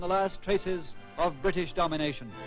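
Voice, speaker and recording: A high-pitched man talks at a moderate pace with music in the background. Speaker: newsreel announcer. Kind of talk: vintage newsreel narration. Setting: old archival recording. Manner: formal, brisk, authoritative.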